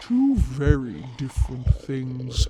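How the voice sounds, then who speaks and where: Putting on a character voice, a man at medium pitch talks at a very slow pace. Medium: audio drama. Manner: archaic, commanding, cryptic.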